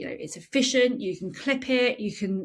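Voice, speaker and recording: A woman with a British accent speaks at a moderate pace in an animated tone, with ordinary pitch variation. The recording is very clean and the background silent. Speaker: franchise consultant and podcast host. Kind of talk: unscripted podcast monologue. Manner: varied natural intonation.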